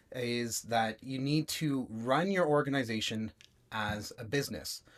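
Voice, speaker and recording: A man with a normal speaking voice and a Canadian accent talks at a fairly slow pace and medium pitch in a very clean recording with a silent background. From Toronto, Canada. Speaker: web design agency founder. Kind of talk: casual interview chat.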